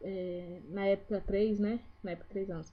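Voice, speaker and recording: Her voice is somewhat breathy. The woman's pace is fairly slow. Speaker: vlogger. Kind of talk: casual vlog talk to camera. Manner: trying to speak slowly.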